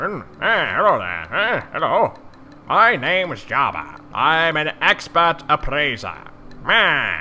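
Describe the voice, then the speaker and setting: This man puts on a character voice at a fairly slow pace. Background noise is clearly heard. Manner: dithering, pompous.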